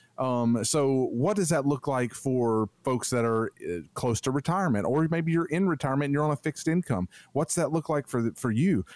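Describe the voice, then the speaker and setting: A man's unremarkable speaking voice, fairly high in pitch, with lively intonation, a moderate pace, very even loudness and hardly any pauses. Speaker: financial advisor. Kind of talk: radio infomercial pitch.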